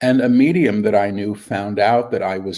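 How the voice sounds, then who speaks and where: A man with fairly low pitch speaks at a moderate pace in a plain, everyday voice. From New York City. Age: 60s. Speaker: spiritual medium. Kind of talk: interview.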